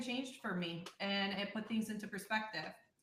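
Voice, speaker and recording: A woman's medium-pitched voice with an American accent, a bright, sharp tone, ordinary pitch variation and audible room echo. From US Midwest, south suburbs of Chicago. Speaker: career strategist. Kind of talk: interview.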